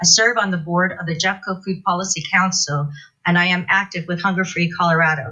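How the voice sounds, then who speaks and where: A woman with an unremarkable speaking voice, fairly low in pitch and fairly even in intonation, at a fairly quick pace. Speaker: school kitchen manager and food advocate. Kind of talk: public comment speech.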